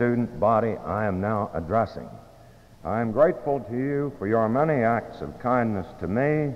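A man's lively intonation comes at a moderate pace. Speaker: school headmaster presiding over ceremony. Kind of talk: formal commencement ceremony address, speaking like an old school headmaster. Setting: school gymnasium, ceremony with audience. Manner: formal, measured, dignified, old-fashioned diction. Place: hall. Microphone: old recording.

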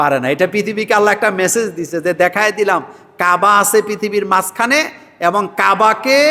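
A man's raised, projected voice, high in pitch, bright and sharp in tone, with very even loudness. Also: ordinary pitch variation. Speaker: Islamic preacher. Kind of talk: religious Q&A sermon. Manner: rhetorical call-and-response questions.

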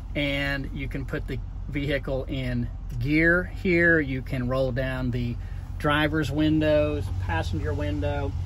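A man talks at a very deep, low pitch. Noticeable background noise runs behind him. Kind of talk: product demonstration. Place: car.

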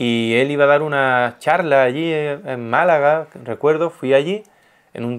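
The background stays quiet. Pitch variation from the man is ordinary. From Spain. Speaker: art youtuber and painter; art youtuber. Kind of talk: casual interview chat. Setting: guest's home. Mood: animated, warm. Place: home room. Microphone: lapel.

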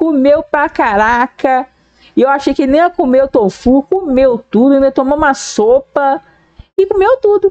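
A woman's high-pitched voice with lively intonation, a fairly slow pace and a quiet background. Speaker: reaction video creator. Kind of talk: casual vlog chat. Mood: cheerful, affectionate. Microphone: headset.

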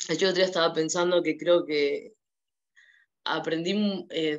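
Over a quiet background, a woman with a Rioplatense accent speaks fairly slowly at a fairly low pitch with monotone, flat intonation. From Argentina. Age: 20s. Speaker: daughter of war veteran. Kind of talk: interview. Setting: video call. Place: home room. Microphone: video call.

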